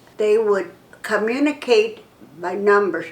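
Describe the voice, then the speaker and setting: Fairly even in intonation, a woman speaks at a medium pitch and a fairly slow pace. Noticeable background noise runs underneath. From US Southwest, Arizona/New Mexico. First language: Spanish. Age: 80s+. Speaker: oral history interviewee. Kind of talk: oral history interview. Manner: halting.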